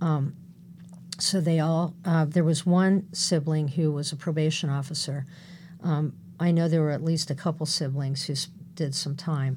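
A woman with an American accent speaks at a moderate pace in a very deep, low, somewhat breathy voice, her intonation flat and monotone. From California. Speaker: domestic violence counselor. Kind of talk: interview.

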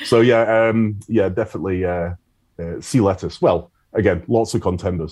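This man's pitch sits fairly low. His intonation stays fairly even. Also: moderate pace. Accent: Scottish. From Scotland, Isle of Arran. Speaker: foraging tutor. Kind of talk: interview conversation. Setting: video call.

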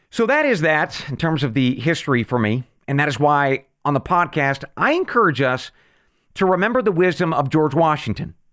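An ordinary speaking voice from a man with an American accent, fairly high pitch and lively intonation, at a moderate pace in a very clean recording with a silent background. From rural western US. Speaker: podcast host, former intelligence officer. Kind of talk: unscripted solo monologue. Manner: conversational.

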